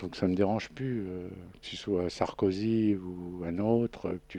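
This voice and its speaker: Here a man's voice is very deep and low, with a dark, mellow tone. His intonation is fairly even, and the background is quiet. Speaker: guest recounting imprisonment experience. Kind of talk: radio interview. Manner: casual, hesitant with fillers.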